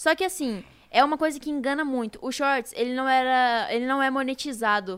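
At a moderate pace, a woman talks in a high voice with ordinary pitch variation. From Brazil, São Paulo state. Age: 20s. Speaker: youtuber. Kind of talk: casual chat.

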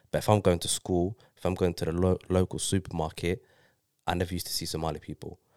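Speaking very fast in a London accent, a man with a very deep, low pitch keeps a monotone, flat intonation, the recording very clean with a silent background and a dry, close sound with no echo. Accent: London multicultural English. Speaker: guest. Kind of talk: casual chat.

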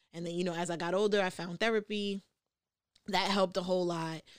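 A woman's fairly low voice in a New York accent, with ordinary pitch variation, on a very clean recording against a silent background. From New York, the Bronx. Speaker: podcast host. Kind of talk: casual chat. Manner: halting with frequent fillers.

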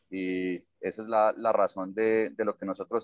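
A man with an Antioquian accent speaks at a fairly low pitch. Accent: Colombian paisa Spanish. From Colombia, Medellín (paisa). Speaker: social entrepreneur. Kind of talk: interview. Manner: hesitant, with fillers and repetitions.

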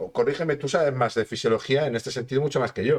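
A man talks here. The pitch of his voice rises and falls very widely. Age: 30s. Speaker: sports and health podcast host. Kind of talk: casual interview chat.

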